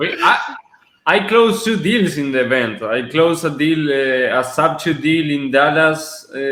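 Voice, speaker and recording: With audible room echo, a man with a fairly high voice speaks at a moderate pace and with lively intonation. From Argentina. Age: 20s. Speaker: real estate investor. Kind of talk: podcast interview.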